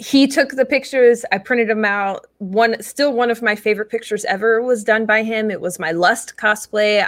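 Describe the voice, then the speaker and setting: Fairly high in pitch, a woman speaks at a moderate pace with hardly any pauses in a normal speaking voice. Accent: American. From South Jersey, US. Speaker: model and cosplayer. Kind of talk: casual interview.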